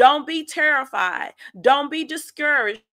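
A woman speaks at a fairly slow pace with a raised, projected voice and ordinary pitch variation. Her tone is animated, bright and sharp. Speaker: faith podcast host. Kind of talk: sermon-style teaching.

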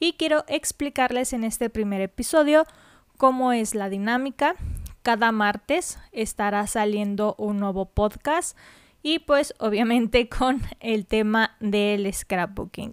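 A woman talks very slowly in a fairly high voice with ordinary pitch variation. The sound is dry and close with no echo, on a very clean recording with a silent background. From Mexico. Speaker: podcast host. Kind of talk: podcast monologue. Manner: casual, hesitant fillers.

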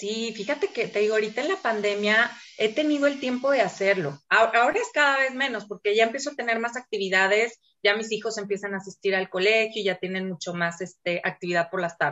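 This woman has a plain, everyday voice, pitched fairly high. She talks at a fairly quick pace with ordinary pitch variation. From Mexico City. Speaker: educator and book reader. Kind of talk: casual interview. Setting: video call.

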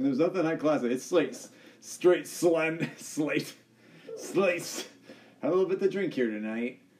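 A man with a fairly high pitch and lively intonation speaks fairly slowly with long, frequent pauses against noticeable background noise. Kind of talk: casual chat. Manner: halting, stumbling over words.

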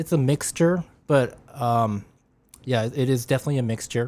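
His is a plain, everyday voice, medium in pitch for a man, with ordinary pitch variation and a moderate pace. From Japan, then Washington State from age nine. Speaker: amateur marathon runner and automotive engineer. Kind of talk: casual chat.

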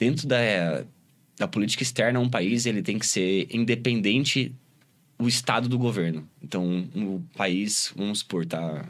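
Recorded very cleanly against a silent background, a man uses an ordinary speaking voice at a medium pitch. He talks at a fairly slow pace with lively intonation. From Brazil, Cuiabá and Rio Grande do Sul. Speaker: electronic music producer and DJ. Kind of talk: casual interview.

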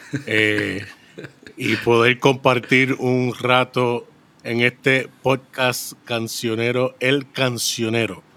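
Against noticeable background noise, a man at a medium pitch speaks at a very slow pace with monotone, flat intonation and very even loudness. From Puerto Rico, with childhood in Brooklyn, New York. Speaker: podcast guest, special effects industry worker. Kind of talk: casual interview with personal testimony.

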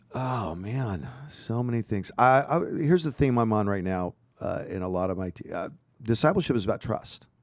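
A man's ordinary speaking voice at a medium pitch, with lively intonation and a moderate pace. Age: 50s. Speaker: pastor. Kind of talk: casual chat. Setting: studio.

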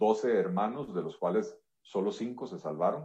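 A man is talking. His pitch swings very widely. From Costa Rica. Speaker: economist and politician. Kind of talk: interview.

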